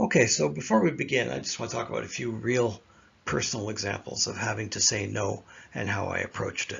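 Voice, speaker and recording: The speech runs at a very fast pace with lively intonation. Vocal fry is present. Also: man. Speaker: management consultant, military veteran. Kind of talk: lecture. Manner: halting.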